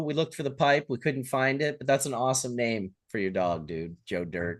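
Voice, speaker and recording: A man with an unremarkable speaking voice and a Canadian accent, medium in pitch, with lively intonation at a moderate pace against a quiet background. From Canada. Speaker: livestream host. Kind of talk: casual chat.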